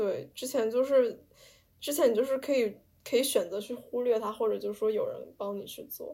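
Her loudness swinging widely, a woman talks at a moderate pace. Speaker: podcast host, art student abroad. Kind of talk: casual chat.

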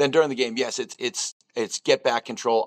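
A man with an American accent speaks with ordinary pitch variation, the sound dry and close with no echo. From US Northeast, Boston. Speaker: football strength and conditioning coach. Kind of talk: casual interview.

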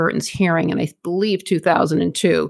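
Using an unremarkable speaking voice, a woman with a fairly low pitch talks at a fairly quick pace. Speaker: podcast co-host. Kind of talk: true-crime narration, two hosts trading off. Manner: measured, matter-of-fact, storytelling cadence; conversational, slightly apologetic, informal with listeners.

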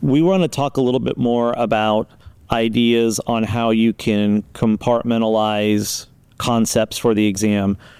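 A man with an American accent speaks at a fairly slow pace in an unremarkable speaking voice, medium in pitch with ordinary pitch variation and very even loudness. The recording is very clean and dry, with a silent background and no echo. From Las Vegas, Nevada. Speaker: college podcast host. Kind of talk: educational interview. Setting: studio.

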